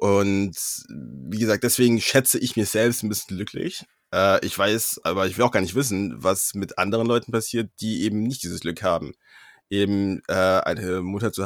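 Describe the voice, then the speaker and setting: A man's plain, everyday voice, fairly low in pitch, with fairly even intonation at a moderate pace, on a very clean recording with a silent background. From Germany, Freiburg (Baden-Württemberg). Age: 20s. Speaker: law student. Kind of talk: casual interview.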